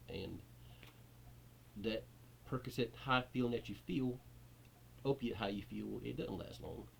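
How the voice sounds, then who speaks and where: Vocal fry and very wide pitch swings at a moderate pace. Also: man. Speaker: YouTuber sharing recovery from addiction. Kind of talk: personal testimony vlog. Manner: halting, repeating words.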